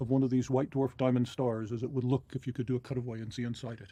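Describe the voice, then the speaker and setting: Somewhat breathy and dark, mellow in tone, a man talks very fast at a medium pitch. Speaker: astronomer. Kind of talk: explanatory interview.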